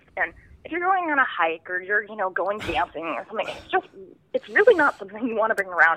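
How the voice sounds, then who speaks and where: A woman with an American accent at a very fast pace, fairly high in pitch, with very wide pitch swings, big swings in loudness, and noticeable background noise. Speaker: student entrepreneur. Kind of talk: casual interview. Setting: phone call.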